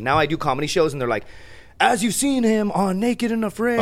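A fairly quick-paced man's voice in an American accent. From Laredo, Texas. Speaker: stand-up comedian, podcast guest. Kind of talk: casual, slangy.

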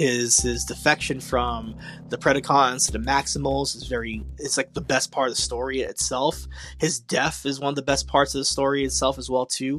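A man talks at a moderate pace. Music runs underneath his voice. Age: 30s. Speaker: podcast host. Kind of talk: solo review podcast. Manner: casual, animated.

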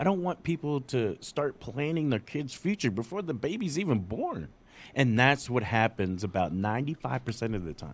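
A man at medium pitch and a moderate pace, very wide pitch swings, in a very clean recording with a silent background. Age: 40s. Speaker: parenting podcast host, father. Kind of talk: casual chat.

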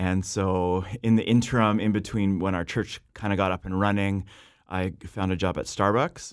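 A man with a Canadian accent, fairly low in pitch, monotone and flat at a moderate pace, on a very clean recording with a silent background. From western Canada (Abbotsford, British Columbia). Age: 30s. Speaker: pastor. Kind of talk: casual interview chat.

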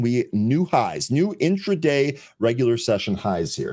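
A man with an energetic, upbeat tone is heard on a very clean recording with a silent background. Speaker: live trading show host. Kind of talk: live trading show hosting. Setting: live stream.

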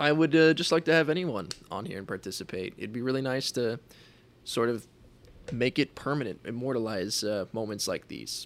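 Lively intonation moves along at a moderate pace on a very clean recording with a silent background. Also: man. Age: 20s. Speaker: podcast host. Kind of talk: solo monologue. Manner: halting, many fillers.

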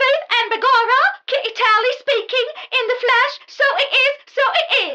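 In a squeaky, put-on character voice, a female-sounding speaker talks at a moderate pace and an extremely high pitch. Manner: disguised, mimicking voice.

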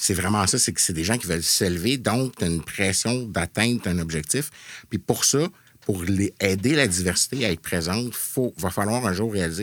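Heard on a very clean recording against a silent background, a plain, everyday voice moves at a moderate pace with ordinary pitch variation. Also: man. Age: 40s. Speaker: video game developer. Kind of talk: casual chat. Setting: studio.

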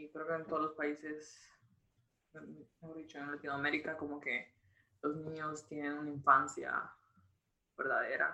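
A woman's fairly slow speech with long, frequent pauses and big swings in loudness. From Guatemala (Jutiapa). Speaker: student. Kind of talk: interview.

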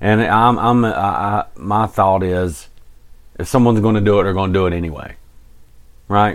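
A man with a fairly low voice speaks at a moderate pace, with fairly even intonation and long, frequent pauses. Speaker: podcast co-host. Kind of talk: casual true crime podcast chat. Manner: joking, casual.

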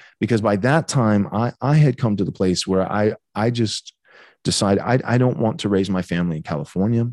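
Talking at a fairly quick pace, a man uses lively intonation. He has an American accent and a fairly low pitch. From Texas (Bay City). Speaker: pastor. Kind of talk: interview conversation. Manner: hesitant, many fillers.

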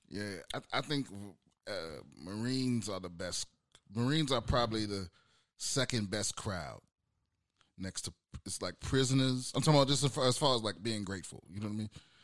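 A man of medium pitch talks at a fairly quick pace, pausing long and often. His pitch varies an ordinary amount, and the recording is very clean with a silent background. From US Mid-Atlantic (DC, Maryland, Virginia). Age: 30s. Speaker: stand-up comedian, military veteran. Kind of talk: casual chat.

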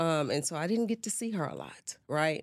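Heard in a very clean recording with a silent background, a woman speaks at a very deep, low pitch with ordinary pitch variation. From Baton Rouge, Louisiana. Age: 30s. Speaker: healthcare executive. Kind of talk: interview. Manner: halting, many fillers.

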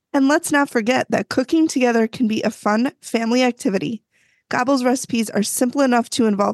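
Recorded with a dry, close sound and no echo, a woman speaks at a high pitch. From US Midwest. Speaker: podcast host. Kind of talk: casual chat, episode recap.

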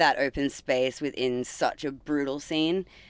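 Someone speaks fairly slowly with an Australian accent on a very clean recording with a silent background. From rural Australia. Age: 30s. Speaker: punk band bassist. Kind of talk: casual interview chat. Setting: band van.

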